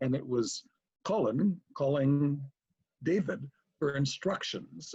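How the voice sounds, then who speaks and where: A man's fairly high, somewhat breathy voice in an American accent, with lively intonation. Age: 70s. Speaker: convention founder. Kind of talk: storytelling.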